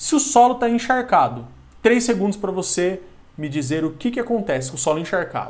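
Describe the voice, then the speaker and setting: A man with a countryside Brazilian accent talks at a fairly quick pace and a high pitch, using very wide pitch swings. Audible room echo and noticeable background noise surround him. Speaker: geography teacher. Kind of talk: lecture. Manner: animated.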